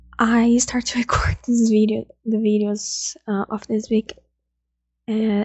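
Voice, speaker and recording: A soft-spoken woman's voice, fairly high-pitched, flat and monotone, at a fairly slow pace. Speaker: F1 commentary YouTuber. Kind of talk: casual video commentary. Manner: halting.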